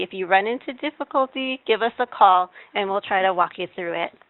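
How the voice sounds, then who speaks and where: A woman with an unremarkable speaking voice talks at a medium pitch and moderate pace, with ordinary pitch variation. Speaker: state health program presenter. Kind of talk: webinar presentation. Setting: webinar.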